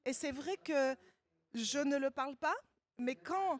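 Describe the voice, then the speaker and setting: A woman talks in a Parisian accent with a high pitch and lively intonation. Her pace is very slow, and the sound is dry and close with no echo. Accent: Parisian suburban French. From Paris suburbs, France. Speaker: novelist. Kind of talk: literary panel talk.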